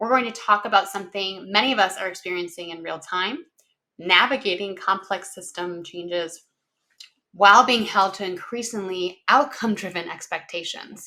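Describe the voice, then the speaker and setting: A woman's bright, sharp tone sits at medium pitch, with ordinary pitch variation and a moderate pace. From Minnesota. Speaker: executive functioning consultant and company founder. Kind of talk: webinar presentation practice run. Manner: some pauses and false starts.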